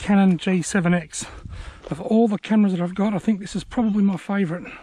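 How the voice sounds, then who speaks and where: A man's high-pitched voice at a very fast pace, fairly even in intonation, over noticeable background noise. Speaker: angler. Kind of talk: live fishing commentary. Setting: outdoors.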